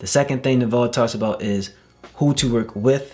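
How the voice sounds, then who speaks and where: Over music in the background, a man speaks in an animated tone with ordinary pitch variation. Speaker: wellness coach. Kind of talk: tutorial. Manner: fast.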